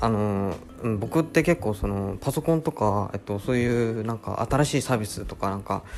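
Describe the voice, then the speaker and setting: A man's voice with ordinary pitch variation, music playing behind it. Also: fairly low pitch for a man, moderate pace. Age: 20s. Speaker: podcast host. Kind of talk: casual chat. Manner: relaxed; hesitant.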